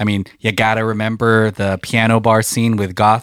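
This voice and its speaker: A normal speaking voice at a moderate pace, dry and close with no echo. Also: man. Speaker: podcast host. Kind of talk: casual chat. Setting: studio. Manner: joking.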